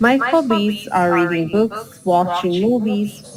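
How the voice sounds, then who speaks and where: Ordinary pitch variation marks a woman's fairly slow speech, heard over noticeable background noise. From Bosnia and Herzegovina. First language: Bosnian. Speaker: English teacher. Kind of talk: online English lesson.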